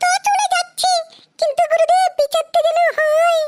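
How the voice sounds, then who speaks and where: In a cartoonish character voice, the speaker squeaks at an extremely high pitch and a moderate pace. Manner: whiny, indignant.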